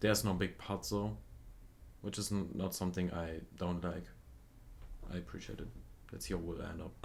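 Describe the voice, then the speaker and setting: A man with a very deep, low pitch and vocal fry talks at a fairly quick pace. He takes long, frequent pauses, and the room echo is audible. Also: ordinary pitch variation. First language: not English. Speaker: music reaction youtuber. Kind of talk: casual review commentary. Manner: halting, many fillers.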